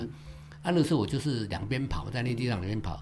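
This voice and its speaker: A medium-pitched male voice with lively intonation. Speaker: songwriter. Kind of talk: casual interview chat. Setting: on location recording.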